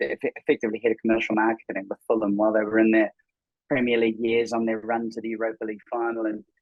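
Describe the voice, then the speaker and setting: A man with a New Zealand accent speaks at a medium pitch in a monotone, flat intonation. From New Zealand, Auckland. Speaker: tech startup co-founder. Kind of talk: podcast interview. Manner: halting, many fillers and repetitions.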